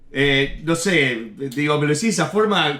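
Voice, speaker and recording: A man with a fairly high pitch and lively intonation talks over noticeable background noise. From Uruguay. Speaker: comedian. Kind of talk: casual chat. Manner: loud, shouts a lot.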